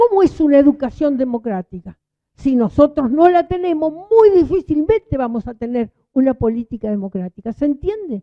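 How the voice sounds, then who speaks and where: Pitched high, a woman talks at a moderate pace with very wide pitch swings. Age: 80s+. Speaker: union leader and speaker. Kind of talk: public talk. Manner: animated.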